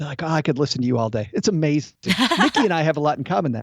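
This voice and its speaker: Delivered at a very fast pace, the speech carries a Midwestern American accent and lively intonation. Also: man, fairly high pitch for a man. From American Midwest.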